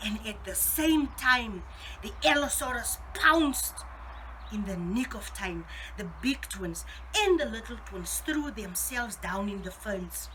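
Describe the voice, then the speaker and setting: Over noticeable background noise, a woman speaks at a fairly slow pace, her loudness swinging widely. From South Africa. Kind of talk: children's story reading.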